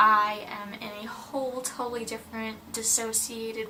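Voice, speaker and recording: A woman with a fairly high pitch talks at a moderate pace. Music plays in the background, and room echo is audible. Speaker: mental health vlogger. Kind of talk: casual personal vlog talk.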